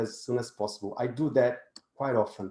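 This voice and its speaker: A man with a non-native accent talks at a fairly quick pace in a dark, mellow tone with ordinary pitch variation. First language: not English. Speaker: positive psychology speaker. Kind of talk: webinar presentation. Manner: halting.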